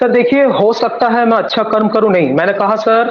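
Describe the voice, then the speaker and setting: A man with a Bengali accent, high pitch, ordinary pitch variation and moderate pace. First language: Bengali (speaking Hindi). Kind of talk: religious debate.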